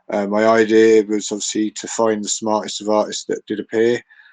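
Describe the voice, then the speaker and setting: Recorded with a dry, close sound, no echo and a quiet background, a man speaks at a moderate pace. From England, High Wycombe area, also lived in the north. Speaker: NFT collector. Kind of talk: casual chat. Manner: rambling, halting with many fillers.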